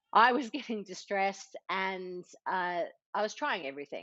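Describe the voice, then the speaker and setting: Pitch moves in an ordinary way. The speech comes with an Australian accent. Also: woman. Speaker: entrepreneur and mother. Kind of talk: podcast interview.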